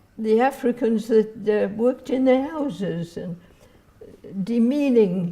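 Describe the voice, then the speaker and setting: With an English accent, a woman speaks at a very slow pace and with ordinary pitch variation. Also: fairly high pitch for a woman. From England. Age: 80s+. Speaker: retired social worker. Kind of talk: interview answer.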